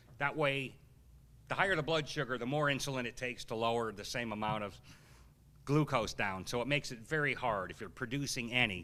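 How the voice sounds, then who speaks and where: Bright and sharp in tone, a man sounds animated while his pitch varies in an ordinary way. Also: medium pitch for a man. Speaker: health researcher and seminar speaker. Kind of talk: live seminar Q&A talk. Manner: fast.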